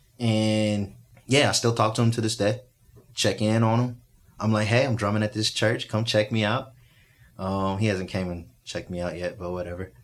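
Here a man has a normal speaking voice and an American accent, pitched fairly low with fairly even intonation at a moderate pace. The recording is very clean, with a silent background. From Texas (Spring, near Houston). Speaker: teacher and musician. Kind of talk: casual chat. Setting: studio.

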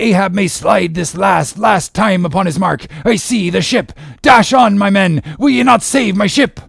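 A man uses a put-on character voice, high-pitched with a fairly bright tone, a slightly husky edge and vocal fry. His pitch varies in an ordinary way, and he talks at a fairly slow pace.

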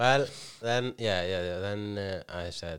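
A man speaks with an Icelandic accent. His intonation is lively. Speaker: comedian and podcast co-host. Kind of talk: casual chat. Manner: halting, many restarts.

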